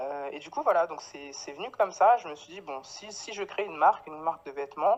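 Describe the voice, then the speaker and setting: A woman's fairly low-pitched voice at a fairly quick pace, with lively intonation, hardly any pauses and big swings in loudness. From Paris, France (Guadeloupean family). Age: 30s. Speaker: clothing brand founder. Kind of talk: interview. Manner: hesitant, many fillers.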